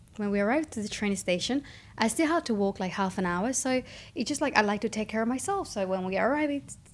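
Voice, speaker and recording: A woman's fairly high voice in a Spanish accent, very fast, with lively intonation. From Spain. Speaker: vlogger. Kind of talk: casual monologue.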